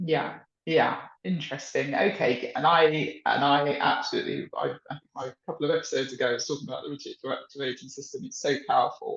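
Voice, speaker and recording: A man talks at a very fast pace with a British accent. His loudness swings widely. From UK. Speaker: podcast host and coach. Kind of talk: podcast interview. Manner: halting, repeats words.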